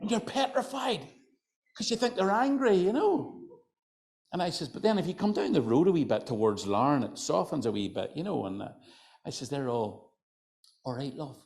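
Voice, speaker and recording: A high-pitched man with a Northern Irish accent, very wide pitch swings, a moderate pace and long, frequent pauses. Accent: Northern Irish, County Antrim. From Northern Ireland, County Antrim. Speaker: folklorist and storyteller. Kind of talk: storytelling to live audience. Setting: hotel function room with audience. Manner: conversational, chatty.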